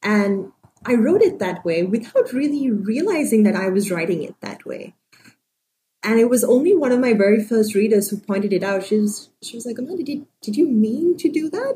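Somewhat breathy and fairly high-pitched, a woman speaks at a moderate pace with lively intonation and big swings in loudness. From Sri Lanka. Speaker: novelist. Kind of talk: interview.

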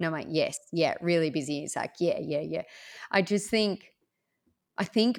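A woman with a very deep, low pitch speaks in an Australian accent. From Orange, central west New South Wales, Australia. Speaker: small business owner. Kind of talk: interview.

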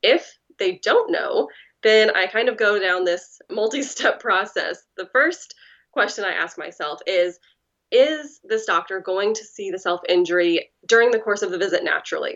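With a plain, everyday voice, a woman speaks at a fairly high pitch and a moderate pace, her intonation lively. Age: 30s. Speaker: writer with lived experience of self-injury. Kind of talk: interview.

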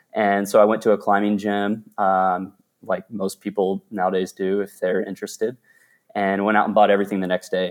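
There is a man with an American accent on a very clean recording with a silent background. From Texas, Dallas. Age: 30s. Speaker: rock climber. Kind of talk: interview storytelling. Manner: casual, many fillers.

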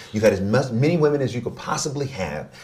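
Very fast speech from a man at a medium pitch, with vocal fry. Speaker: relationship expert. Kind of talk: interview conversation.

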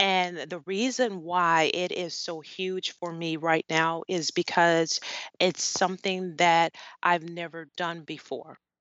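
Speaking at a very slow pace, a woman with an American accent uses a fairly low pitch. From US South, New Orleans, Louisiana. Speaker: life coach and professor. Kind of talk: interview. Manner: animated.

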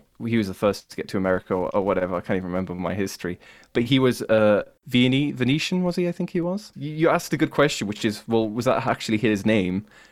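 A man talks very fast at a medium pitch with lively intonation in a Cumbrian accent, in a very clean recording with a silent background. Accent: northern English, Cumbrian. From Cumbria, northern England. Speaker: podcaster and YouTuber, music. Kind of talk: casual chat, interview.

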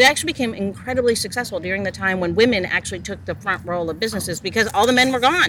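A woman speaks at a very fast pace in an animated tone, with hardly any pauses. Her pitch is medium with ordinary variation, and there is noticeable background noise. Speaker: podcast host. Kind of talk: casual chat. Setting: outdoors.

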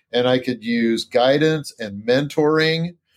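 A plain, everyday voice: a man at medium pitch, speaking at a fairly slow pace with ordinary pitch variation. The recording is very clean, the background silent. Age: 50s. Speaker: dentist. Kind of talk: interview.

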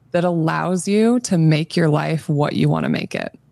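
A woman with a Midwestern American accent talks at a moderate pace in a very deep, low voice. The sound is dry and close, with no echo. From US Midwest, Nebraska. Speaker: physician and health coach. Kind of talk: interview conversation.

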